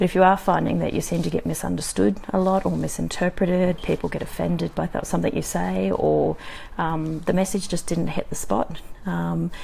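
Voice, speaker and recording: A woman talking at a fairly quick pace amid noticeable background noise. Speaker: communication coach vlogger. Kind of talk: live video talk. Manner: many filler ums.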